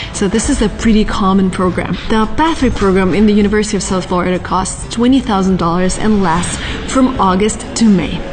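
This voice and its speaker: A woman at a fairly quick pace with hardly any pauses, medium pitch and very even loudness, plus audible room echo and music in the background. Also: ordinary pitch variation. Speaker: vlogger. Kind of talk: vlog. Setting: library then outdoors on campus. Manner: whispering.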